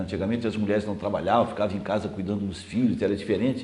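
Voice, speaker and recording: A man talks, and audible room echo can be heard around him. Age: 60s. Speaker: TV host. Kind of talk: interview.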